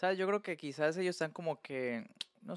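A man with a Colombian accent talks with ordinary pitch variation in a dry, close sound with no echo. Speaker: podcast guest, handyman. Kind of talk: casual chat.

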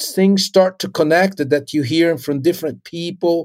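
The speaker talks at a fairly slow pace. The voice carries a Portuguese accent. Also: man. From Brazil (Recife, northeast). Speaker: drummer and music professor. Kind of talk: casual interview.

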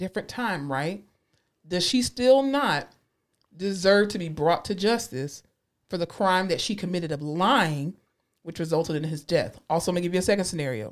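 An animated tone and a Southern US accent come through at a moderate pace. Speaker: podcast co-host. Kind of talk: casual chat.

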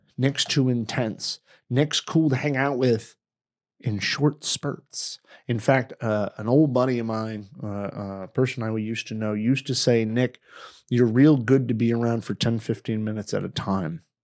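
A man's medium-pitched voice at a moderate pace with ordinary pitch variation, in a dry, close sound with no echo and a quiet background. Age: 40s. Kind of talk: casual chat. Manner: emotional.

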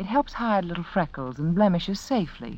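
A woman's fairly low voice carries a slightly mellow tone and lively intonation.

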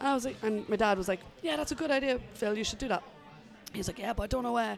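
Noticeable background noise surrounds a woman speaking at a very fast pace with an Irish accent. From Ireland. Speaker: musician and music journalist. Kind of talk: casual interview chat.

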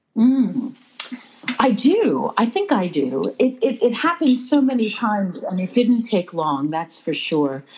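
With an American accent, a woman speaks at a fairly slow pace, her pitch swinging very widely. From US Pennsylvania. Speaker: writer and pilgrim. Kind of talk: casual interview chat. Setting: phone call.

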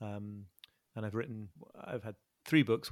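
A man with a northern English accent talks at a fairly quick pace and fairly low pitch. The sound is dry and close with no echo. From northern England. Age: 40s. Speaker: author and journalist. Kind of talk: interview. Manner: halting.

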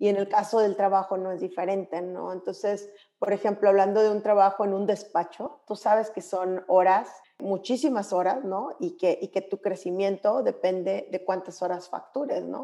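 Her voice has a dark, mellow tone and a medium pitch for a woman. The intonation stays fairly even as she talks at a moderate pace. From Mexico, Monclova (Coahuila). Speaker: lawyer and gender equity consultant. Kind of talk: interview.

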